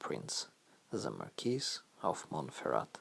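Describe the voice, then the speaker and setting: A man talks at a fairly slow pace with a non-native accent. Vocal fry runs through his voice. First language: not English. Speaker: storyteller. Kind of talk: reading aloud.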